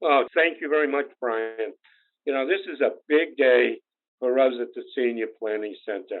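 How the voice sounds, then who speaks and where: Speaking with a Boston accent, a man talks at a moderate pace in a medium pitch with ordinary pitch variation. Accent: New England Boston. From New Bedford, Massachusetts. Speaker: insurance agency founder. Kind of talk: podcast interview.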